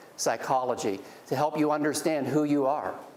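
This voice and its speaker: A man talks in an American accent, with audible room echo around him. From Pennsylvania. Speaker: business executive and guest speaker. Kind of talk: guest lecture to students. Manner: fast.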